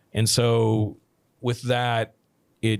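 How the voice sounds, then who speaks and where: In an American accent, a man with a fairly low pitch speaks in a monotone, flat way on a very clean recording with a silent background. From United States. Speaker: film director and production company owner. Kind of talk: podcast interview. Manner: halting, many fillers and restarts.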